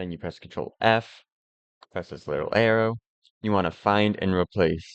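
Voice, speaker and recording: A man with a fairly low pitch speaks at a moderate pace with fairly even intonation, big swings in loudness and long, frequent pauses, in a dry, close recording with no echo. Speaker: modding tutorial creator. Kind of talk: tutorial. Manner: casual.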